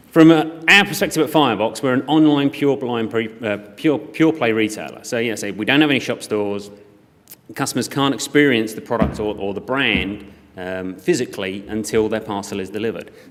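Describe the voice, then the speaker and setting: A man talks at a fairly quick pace in a medium pitch with ordinary pitch variation. Room echo is audible. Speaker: e-commerce operations director. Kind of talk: conference talk. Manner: loud; hesitant with fillers.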